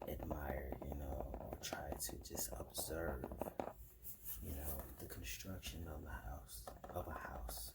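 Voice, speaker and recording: A soft-spoken man with a very deep, low pitch and a relaxed tone at a very slow pace, over noticeable background noise. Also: ordinary pitch variation. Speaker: ASMR content creator. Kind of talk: soft-spoken ASMR ramble to camera. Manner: soft-spoken, relaxed.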